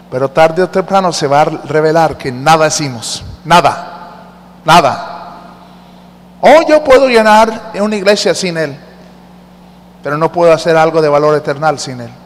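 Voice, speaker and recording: Over noticeable background noise, a man with a fairly high voice speaks at a fairly slow pace with ordinary pitch variation. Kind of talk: sermon. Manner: interactive and teacherly, coaxing the congregation to read the verses aloud with him; warm and earnest, with humor, slowing down to stress each point.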